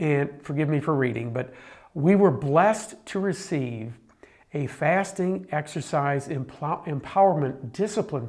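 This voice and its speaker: In a normal speaking voice, a fairly high-pitched man speaks at a fairly slow pace with lively intonation. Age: 60s. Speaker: documentary presenter. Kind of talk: personal video diary.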